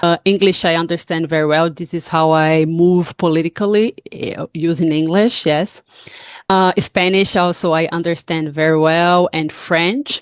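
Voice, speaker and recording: Speaking at a moderate pace in a Portuguese accent, a woman with a fairly low pitch keeps her intonation fairly even, the sound dry and close with no echo. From Brazil. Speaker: activist. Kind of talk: town hall talk. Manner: halting.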